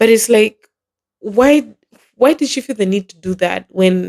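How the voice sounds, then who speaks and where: A woman with a non-native accent talks at a fairly quick pace, and the sound is dry and close with no echo. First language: not English. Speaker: podcast host. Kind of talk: casual solo podcast commentary. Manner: animated.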